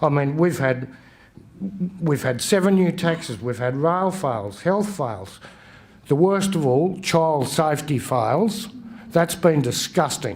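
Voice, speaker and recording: Speaking at a fairly slow pace, a man with a strong Australian accent uses lively intonation and a fairly high pitch. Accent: broad Australian. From western Queensland, Australia. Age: 60s. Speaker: election candidate. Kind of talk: campaign speech at candidates forum. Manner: halting, with false starts.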